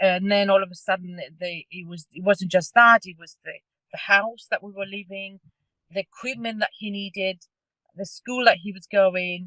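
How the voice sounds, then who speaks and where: A woman speaks with a Cypriot accent at a medium pitch and moderate pace, with fairly even intonation. Her loudness swings widely, and the sound is dry and close with no echo. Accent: Greek Cypriot. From Cyprus (Greek Cypriot). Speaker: parent carer. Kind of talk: testimony. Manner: halting.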